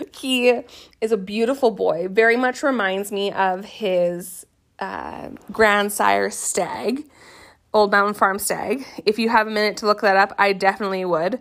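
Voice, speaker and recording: With a Canadian accent, a woman speaks in an ordinary speaking voice at a medium pitch and fairly slow pace with fairly even intonation, captured in a very clean recording with a silent background. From Canada. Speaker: podcast host, goat farmer. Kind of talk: casual solo podcast monologue.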